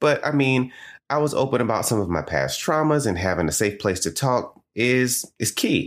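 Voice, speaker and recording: In a Southern US accent, a man at a medium pitch sounds animated and enthusiastic, with lively intonation, a moderate pace and very even loudness, in a very clean recording with a silent background. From US South. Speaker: podcast host. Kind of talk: scripted educational podcast monologue. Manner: animated, enthusiastic.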